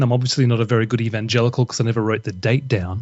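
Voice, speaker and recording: The speaker is a man. He has an Australian accent. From Australia, Brisbane. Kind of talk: podcast interview.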